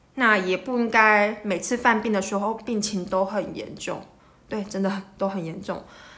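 A woman speaks at a medium pitch and a moderate pace with fairly even intonation. Her tone is bright and sharp, and there is audible room echo. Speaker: rheumatologist podcast host. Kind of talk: medical explainer monologue. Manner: casual, with many filler words.

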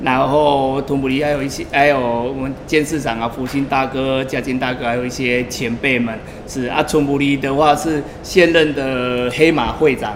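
The speech has monotone, flat intonation and hardly any pauses. Audible room echo and noticeable background noise are present. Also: man, medium pitch for a man, moderate pace. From Taiwan. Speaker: entrepreneur, labor recruitment agency owner. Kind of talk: interview. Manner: halting.

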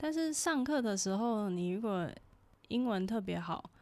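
This very clean recording, with a silent background, features a woman speaking in a Taiwanese accent. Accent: Taiwanese Mandarin. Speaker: podcast co-host, student abroad. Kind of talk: casual chat.

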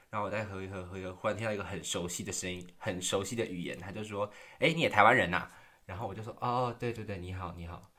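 Speaking very fast with a Taiwanese accent, a man with a fairly low pitch shows ordinary pitch variation and big swings in loudness on a very clean recording with a silent background. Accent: Taiwanese Mandarin. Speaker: podcast host. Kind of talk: casual solo monologue. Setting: quiet room at home.

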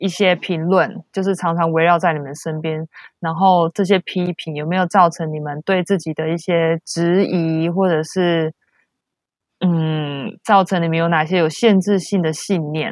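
Against a quiet background, a woman speaks fairly slowly in a fairly low, monotone voice with flat intonation, the sound dry and close with no echo. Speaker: traveler. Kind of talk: casual chat.

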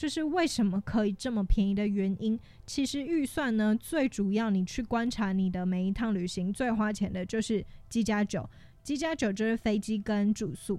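On a very clean recording with a silent background, a woman talks in a fairly high pitch with a dark, mellow tone and ordinary pitch variation. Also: moderate pace. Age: 20s. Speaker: podcast host. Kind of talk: casual solo podcast monologue.

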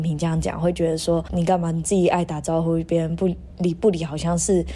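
The speaker has an unremarkable speaking voice and talks at a fairly quick pace. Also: woman. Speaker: podcast co-host, exchange student. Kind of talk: casual chat.

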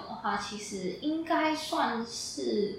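A woman with a fairly high voice speaks with very wide pitch swings over noticeable background noise. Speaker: speech therapy student. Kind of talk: casual interview.

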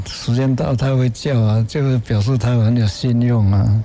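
A man with a calm tone and medium pitch speaks at a fairly slow pace with fairly even intonation over noticeable background noise. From Taiwan, rural Nantou. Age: 80s+. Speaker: painter. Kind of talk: interview. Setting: on site at an art exhibition. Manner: calm, mild-mannered.

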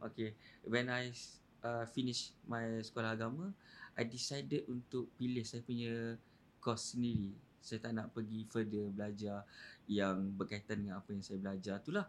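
A man with a normal speaking voice talks at a moderate pace, using a medium pitch and fairly even intonation. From Malaysia, Kelantan. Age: 30s. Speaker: podcast guest. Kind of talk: casual chat.

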